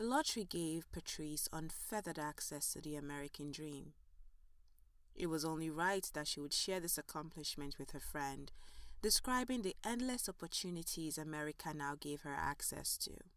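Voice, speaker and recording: This is a woman with an ordinary speaking voice, pitched fairly low. She talks at a moderate pace with lively intonation. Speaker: narrator. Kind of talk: audio drama narration.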